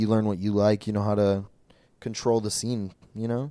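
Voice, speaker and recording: A man with an Upper Midwest accent talks at a fairly quick pace in a dark, mellow, fairly low voice. The recording is very clean, with a silent background and a dry, close sound with no echo. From Minnesota, Brainerd. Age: 20s. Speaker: adult film performer. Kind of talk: casual chat.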